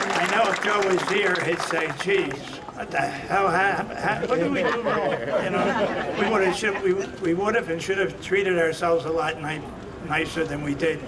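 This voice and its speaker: Amid crowd noise and audible room echo, a man with an American accent and a high pitch speaks at a moderate pace with ordinary pitch variation. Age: 70s. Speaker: boxing promoter and friend of the honoree. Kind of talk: ceremonial speech.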